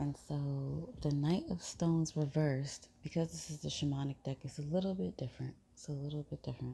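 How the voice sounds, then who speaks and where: A woman's very deep, low voice, somewhat breathy with a dark, mellow tone, moves at a moderate pace with ordinary pitch variation. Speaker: tarot reader. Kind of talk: tarot reading to camera. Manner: quiet, trying not to wake others; casual, conversational.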